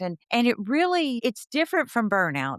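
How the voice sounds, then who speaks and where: A woman with a Texan accent speaks at a moderate pace with very wide pitch swings, the sound dry and close with no echo on a very clean recording with a silent background. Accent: Texan American. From Texas, Fort Worth. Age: 60s. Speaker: counselor and educator. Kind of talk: interview.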